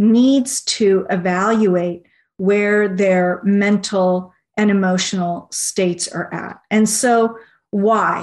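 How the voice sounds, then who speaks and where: A woman's medium-pitched voice at a very slow pace against a quiet background. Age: 40s. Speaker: research director and naturopathic physician. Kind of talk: interview.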